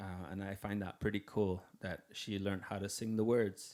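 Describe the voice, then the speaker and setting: A man speaks with a Canadian Arctic accent. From Nunavik, northern Quebec. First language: Inuktitut. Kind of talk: Q&A at music workshop for students. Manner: halting, many fillers and repeats.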